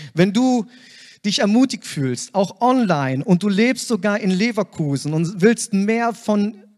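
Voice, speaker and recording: A man talks at a very slow pace with ordinary pitch variation. The sound is dry and close, with no echo. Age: 30s. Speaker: church planter. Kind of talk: testimony.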